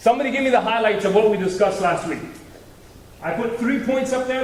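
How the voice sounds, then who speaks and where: A man talks loudly at a very fast pace, his high pitch showing ordinary pitch variation. Audible room echo and noticeable background noise fill the recording. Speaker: guest speaker on marriage. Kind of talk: talk to youth group. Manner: interactive, joking.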